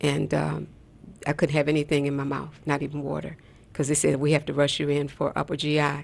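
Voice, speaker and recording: A woman with a very deep, low pitch and vocal fry speaks fairly quickly with monotone, flat intonation. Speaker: radio host and health practitioner. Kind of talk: call-in talk show. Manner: fast.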